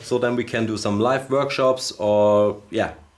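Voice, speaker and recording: A man talks with a Bavarian accent. His pace is very slow. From Bavaria, Germany. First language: German. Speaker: magician, live stream co-host. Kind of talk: casual chat. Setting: studio live stream. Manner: halting.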